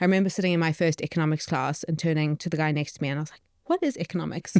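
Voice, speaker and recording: Very fast speech from a woman in a South African accent, very deep and low in pitch, monotone and flat, with big swings in loudness and a dry, close sound with no echo. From South Africa, Johannesburg. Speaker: startup co-founder, behavioural economist. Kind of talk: podcast interview.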